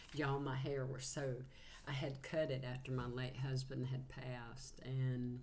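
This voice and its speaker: With a Southern US accent, the speaker talks fairly slowly in a somewhat breathy, monotone, flat voice, with audible room echo. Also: woman, very deep, low pitch for a woman. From Georgia, US South. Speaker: psychic channeler, tarot reader. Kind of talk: casual spiritual channeling livestream talk.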